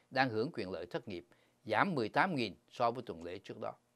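A man's voice with very wide pitch swings. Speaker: financial news presenter. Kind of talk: news reading. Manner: formal.

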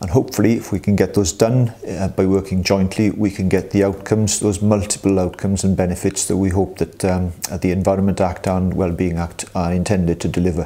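A man speaks with a very deep, low pitch in a flat monotone, hardly pausing at all. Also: fairly quick pace. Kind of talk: explanatory talk to staff. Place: office.

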